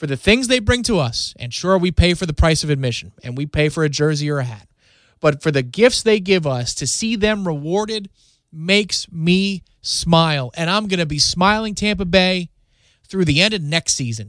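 The speaker sounds animated against a quiet background. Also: man, high pitch for a man, lively intonation, moderate pace. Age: 30s. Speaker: sports podcast host. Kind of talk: solo sports podcast monologue. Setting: radio studio.

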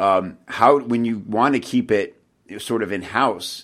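A man's medium-pitched voice, an unremarkable speaking voice, at a fairly slow pace in a very clean recording with a silent background. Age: 40s. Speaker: podcast host, copywriter. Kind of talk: interview. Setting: podcast.

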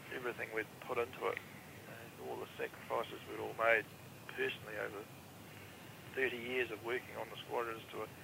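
A man speaks with a southern New Zealand accent. He talks at a fairly quick pace. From New Zealand, Invercargill. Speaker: former air force avionics technician. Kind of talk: interview.

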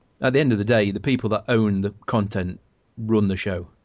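Speaking at a fairly quick pace against a quiet background, a man uses an ordinary speaking voice with a fairly low pitch. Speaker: podcast host. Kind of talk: casual chat.

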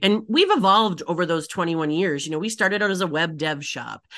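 Over a quiet background, a woman with an American accent has a bright, sharp tone and ordinary pitch variation. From Michigan, Upper Peninsula. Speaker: agency CEO and author. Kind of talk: casual interview chat.

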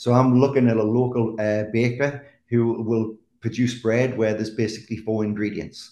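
In an English accent, a man speaks at a moderate pace and medium pitch, his dark, mellow tone held in monotone, flat intonation. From England. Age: 50s. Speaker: chef. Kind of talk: casual chat.

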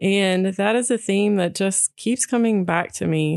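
A plain, everyday voice from a woman with an American accent, medium in pitch, with ordinary pitch variation and a fairly slow pace. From Texas. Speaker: podcast co-host, writer. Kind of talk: casual chat.

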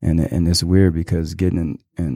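On a very clean recording with a silent background, a man with an American accent speaks in a very deep, low voice with a dark, mellow tone. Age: 30s. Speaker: former foster youth sharing his story. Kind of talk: casual interview. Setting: studio.

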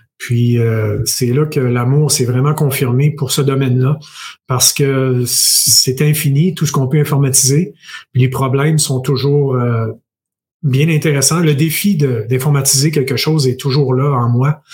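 A man with a Quebec accent speaks at a fairly slow pace in a fairly high, somewhat breathy voice. His intonation is fairly even and his loudness very even. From Quebec, Bas-Saint-Laurent. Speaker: tech entrepreneur and investor. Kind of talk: interview.

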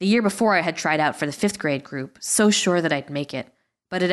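A quiet background under an unforced reading voice.

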